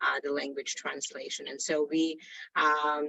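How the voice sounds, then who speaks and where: At a fairly slow pace, a woman talks with a very deep, low pitch. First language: not English. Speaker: company CEO. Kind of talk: prepared talk on video call. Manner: halting, many fillers.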